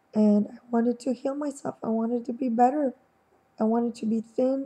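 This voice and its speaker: A woman speaks in a high, dark and mellow voice. Her pace is moderate and her intonation fairly even. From Quebec, Montreal. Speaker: vlogger. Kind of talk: personal testimony. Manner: halting, many fillers.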